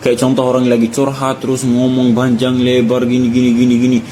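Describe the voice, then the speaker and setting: A man with an Arabic accent, amid noticeable background noise. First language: Arabic (speaking Indonesian). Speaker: content creator. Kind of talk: casual vlog monologue. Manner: animated.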